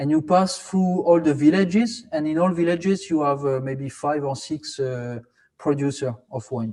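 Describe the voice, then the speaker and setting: A man with a French accent speaks at a moderate pace in a fairly high pitch, his dark, mellow tone carried by lively intonation. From France, Alsace (Strasbourg). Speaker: academic conference co-organizer. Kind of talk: presentation (virtual city tour). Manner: halting, many fillers and repetitions.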